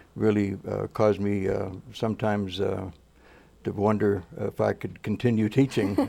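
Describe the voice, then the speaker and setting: A man speaks in a fairly low pitch with a dark, mellow tone and monotone, flat intonation. The recording is very clean, with a silent background. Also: moderate pace. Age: 70s. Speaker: education professor. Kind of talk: interview. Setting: studio. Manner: halting, many fillers.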